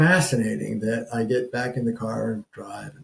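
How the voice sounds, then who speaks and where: The man's voice is somewhat breathy. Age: 70s. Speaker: couples therapist. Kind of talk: advice talk to camera. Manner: halting, many fillers and restarts.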